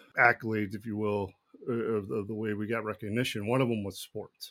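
A man with an American accent, medium in pitch and fairly quick in pace, with an ordinary speaking voice. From Texas, Dallas area. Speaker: firefighter and former baseball player. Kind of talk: interview testimony.

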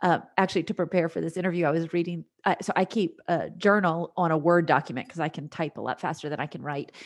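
With fairly even intonation, a woman delivers her words at a very fast pace. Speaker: Enneagram coach. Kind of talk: casual interview chat.

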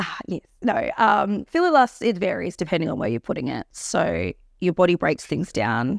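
In a dry, close sound with no echo, a woman with an Australian accent talks at a moderate pace. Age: 30s. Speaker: cosmetic injector and entrepreneur. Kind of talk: casual chat.

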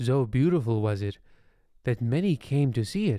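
Speaking at a fairly slow pace, a man has a dark, mellow tone. His recording is very clean, with no background sound. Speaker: fictional radio storyteller. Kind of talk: bedtime story telling, scripted comic horror narration. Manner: pompous, theatrical, dry and menacing.

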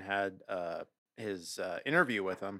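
A man with an American accent at a moderate pace, bright and sharp in tone. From US Pacific Northwest. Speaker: beer podcast co-host. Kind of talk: casual chat.

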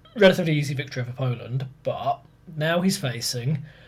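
Somewhat breathy man, fairly high in pitch, with lively intonation. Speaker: podcast host, history presenter. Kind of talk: casual chat and explaining history.

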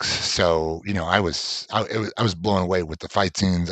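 Very deep and low, a man's voice stays in a flat monotone. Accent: American. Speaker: comic shop owner and podcast co-host. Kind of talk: casual chat.

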